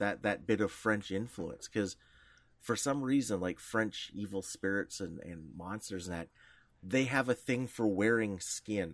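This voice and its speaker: At a fairly slow pace, a man speaks in an unremarkable speaking voice with fairly low pitch and ordinary pitch variation, on a very clean recording with a silent background. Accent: Canadian. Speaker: podcast co-host. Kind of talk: casual interview chat.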